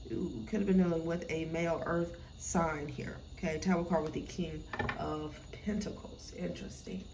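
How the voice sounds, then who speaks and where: A woman's fairly low-pitched voice, fairly even in intonation, amid noticeable background noise. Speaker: tarot reader. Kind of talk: tarot reading commentary. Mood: calm, musing. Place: home room. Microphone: phone near.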